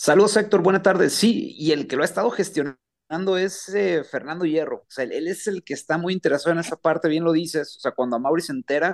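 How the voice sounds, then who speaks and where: Very fast and high-pitched, a man talks with ordinary pitch variation in a dry, close sound with no echo. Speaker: club beat reporter. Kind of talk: radio sports report.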